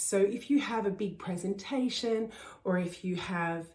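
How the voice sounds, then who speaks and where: Delivered with an Australian accent, the voice sounds animated, with ordinary pitch variation. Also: woman. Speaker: voice coach. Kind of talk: tutorial.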